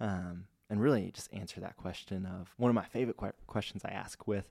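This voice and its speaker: On a very clean recording with a silent background, a man with a Pacific Northwest accent talks at a moderate pace in a dark, mellow tone, fairly low in pitch with ordinary pitch variation. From US Pacific Northwest (Spokane, Washington). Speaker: credit union marketing director. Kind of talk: casual interview chat. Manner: energetic.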